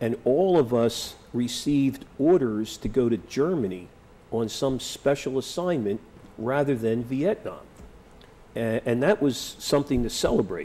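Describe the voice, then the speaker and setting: A man with a Philadelphia accent, medium pitch, lively intonation and a fairly slow pace. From Philadelphia, US. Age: 60s. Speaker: war veteran. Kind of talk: oral history interview. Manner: halting.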